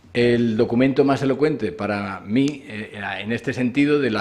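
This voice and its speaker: A man's fairly even intonation is heard over noticeable background noise. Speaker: conference speaker, scholar of Islam. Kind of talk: academic lecture. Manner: fast; hesitant fillers.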